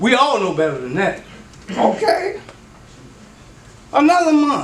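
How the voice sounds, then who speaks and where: With very wide pitch swings and a moderate pace, a man talks amid noticeable background noise and audible room echo. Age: 70s. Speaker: resident speaking at city council. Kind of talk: public comment at meeting. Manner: animated.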